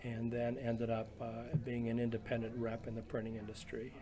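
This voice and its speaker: A man at medium pitch with monotone, flat intonation, amid noticeable background noise and audible room echo. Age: 70s. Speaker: retired printing business owner. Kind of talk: oral history interview. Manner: halting, many fillers.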